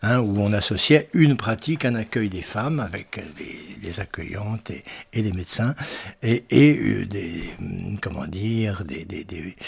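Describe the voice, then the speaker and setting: Somewhat breathy and fairly low in pitch, a man speaks at a very slow pace with lively intonation and big swings in loudness. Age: 80s+. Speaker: retired doctor, activist. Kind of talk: testimony. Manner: halting, many hesitations.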